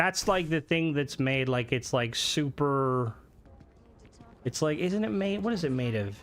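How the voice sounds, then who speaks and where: Lively intonation from a man at medium pitch, a fairly slow pace with long, frequent pauses, and music in the background. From Ireland. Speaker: gaming streamer. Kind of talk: live gameplay stream commentary. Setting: live stream. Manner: casual, chatty.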